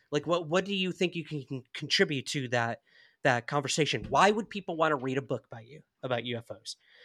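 With a bright, sharp tone and fairly high pitch, a man speaks at a fairly quick pace, his loudness swinging widely in a dry, close sound with no echo. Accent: American. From upstate New York. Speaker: UFO researcher and podcaster. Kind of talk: casual interview chat. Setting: remote call.

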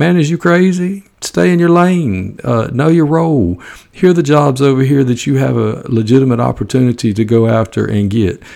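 A man's dark, mellow voice in a strong Southern US accent, lively in intonation, with hardly any pauses. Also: medium pitch for a man, moderate pace, very even loudness. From US South, Georgia. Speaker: high school football coach, podcaster. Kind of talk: casual podcast talk, opinionated. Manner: folksy, humorous.

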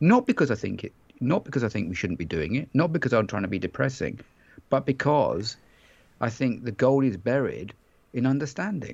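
A man with an English accent swings his pitch very widely. The background is quiet. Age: 50s. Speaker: bike fitter and author. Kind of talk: interview.

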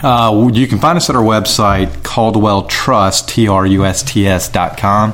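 Speaking with a Southern US accent at a very slow pace, the voice keeps a very even loudness, ordinary pitch variation and hardly any pauses. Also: man, fairly low pitch for a man. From South Carolina, Lexington County. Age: 30s. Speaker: trust and estate planner. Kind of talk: casual interview. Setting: home kitchen studio.

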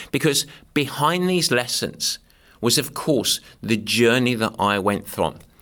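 With an American accent, the voice has a bright, sharp tone and lively intonation. The pace is fairly slow and the loudness very even. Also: man, medium pitch for a man. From southeast England. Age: 50s. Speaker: podcast host and endurance sports coach. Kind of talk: reflective solo monologue. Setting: studio, filmed on camera. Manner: humorous; upbeat.

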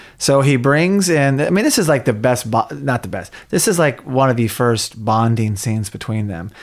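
A man with an American accent speaks at a moderate pace with lively intonation and hardly any pauses. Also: medium pitch for a man. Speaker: podcast host, documentary filmmaker. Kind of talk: casual chat. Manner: animated.

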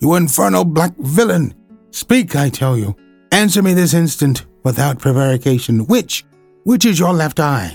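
Putting on a character voice, a man speaks at a moderate pace and a fairly high pitch, with hissing and music playing in the background. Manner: hissing through clenched teeth, furious.

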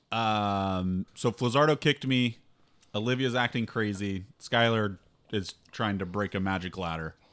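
A man with an ordinary speaking voice and a fairly low pitch, varying it in the usual way. The recording is very clean, with a silent background. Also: fairly slow pace. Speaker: tabletop game player. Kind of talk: casual banter.

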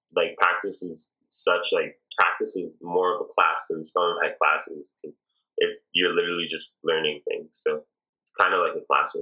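A man speaks with a Toronto accent. His pace is moderate. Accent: Canadian (Toronto). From Canada, Toronto (Scarborough). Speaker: volleyball player and musician. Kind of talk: interview.

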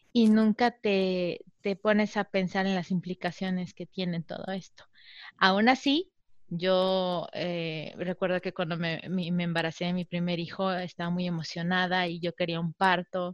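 Against a quiet background, a woman with a normal speaking voice talks at a medium pitch and a fairly slow pace, keeping her intonation fairly even. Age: 30s. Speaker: mother sharing birth stories. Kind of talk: interview testimony.

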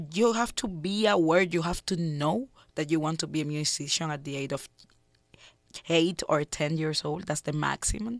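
A woman's fairly low voice with a Cuban accent, at a fairly slow pace, dry and close with no echo, on a very clean recording with a silent background. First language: Spanish. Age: 30s. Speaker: jazz singer and composer. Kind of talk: radio interview. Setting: studio.

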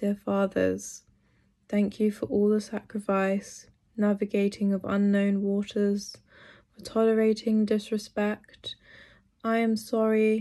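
Against a quiet background, a woman with a London accent talks at a fairly slow pace in a medium pitch, her tone dark and mellow and her intonation monotone and flat. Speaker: poet. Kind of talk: interview with poetry reading.

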